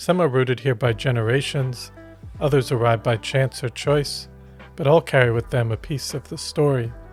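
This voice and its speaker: With music in the background, a man's medium-pitched voice shows ordinary pitch variation. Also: moderate pace. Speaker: podcast host. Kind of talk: podcast intro.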